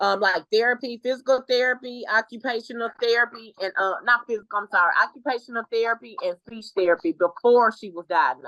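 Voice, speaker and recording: Talking at a fairly quick pace with hardly any pauses, a woman uses a fairly high pitch and a bright, sharp tone, her loudness swinging widely in a dry, close recording with no echo. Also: ordinary pitch variation. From Texas, Dallas (Oak Cliff). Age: 40s. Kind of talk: interview conversation.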